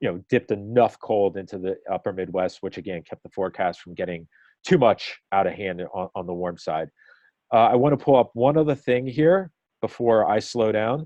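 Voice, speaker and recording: With an American accent and a plain, everyday voice, a man speaks at a moderate pace in a fairly low pitch, his intonation lively and his loudness swinging widely. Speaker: weather forecast discussion leader. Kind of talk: group forecast discussion on a call. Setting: conference call. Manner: casual with many fillers.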